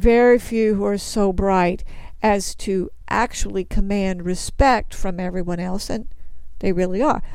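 Speaking with an American accent, a woman uses lively intonation at a fairly slow pace. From Texas. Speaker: Bible teacher. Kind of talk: sermon.

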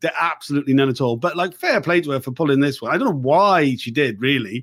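Here a man talks with a South Wales accent and a fairly high pitch. His pace is fairly quick and his intonation lively. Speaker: podcast host and inquiry reporter. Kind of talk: interview. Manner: casual, halting with many fillers.

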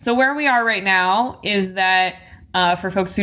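At a moderate pace, a woman speaks in an unremarkable speaking voice of medium pitch. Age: 30s. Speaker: magazine founder and journalist. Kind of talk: interview conversation.

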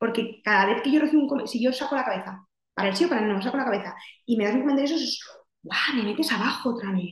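With audible room echo, a woman speaks very fast at a fairly high pitch, her pitch varying in an ordinary way. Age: 30s. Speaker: psychologist. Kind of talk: casual interview.

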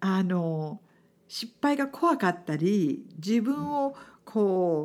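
A woman with a non-native accent and a dark, mellow tone speaks at a very slow pace with very wide pitch swings, on a very clean recording with a silent background. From outside Japan. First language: not Japanese (speaking Japanese). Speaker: businesswoman and podcast host. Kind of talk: interview chat.

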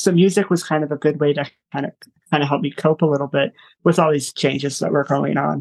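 A man with an American accent talks at a very fast pace and a fairly high pitch, with vocal fry. His intonation stays fairly even, and the sound is dry and close with no echo. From US Midwest (Michigan, then Illinois). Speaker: musician and motivational speaker. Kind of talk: interview conversation. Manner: hesitant, many fillers.

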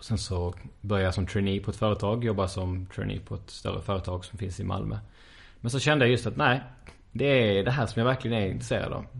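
Very fast speech from a man with a fairly low pitch, vocal fry and ordinary pitch variation. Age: 20s. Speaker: neuroscience student and lecturer. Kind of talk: interview.

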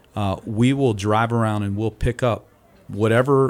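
A man with an American accent has a plain, everyday voice. His pitch is fairly low and his intonation fairly even. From US Mid-Atlantic, Delaware Eastern Shore. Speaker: youth ministry director. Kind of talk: casual chat.

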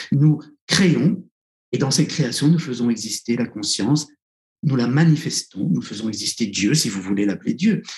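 A man speaks with a somewhat breathy voice. His intonation is lively. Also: medium pitch for a man, moderate pace. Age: 60s. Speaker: psychotherapist and author. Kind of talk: interview. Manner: halting.

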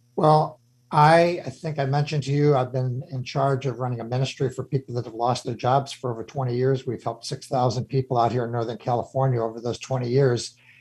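A man with a medium pitch talks at a fairly quick pace with hardly any pauses. His voice is somewhat breathy and his intonation fairly even. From Chicago. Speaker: radio host, former CEO. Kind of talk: radio interview.

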